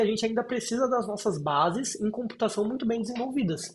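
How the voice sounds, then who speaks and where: This is a man speaking. His pitch is high. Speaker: software engineer presenting a talk. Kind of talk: technical presentation. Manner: fast.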